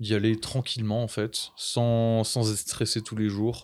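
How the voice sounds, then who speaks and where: A very clean recording of a man, silent in the background. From Brittany, France. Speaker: seasonal ski resort worker. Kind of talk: casual chat.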